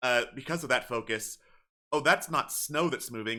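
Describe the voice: The voice belongs to a man and sits at a medium pitch. It has a bright, sharp tone.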